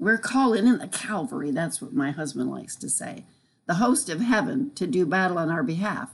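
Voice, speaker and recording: A woman speaks fairly quickly at a medium pitch, her voice somewhat breathy. Her pitch swings very widely and her loudness shifts in big swings. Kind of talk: devotional teaching.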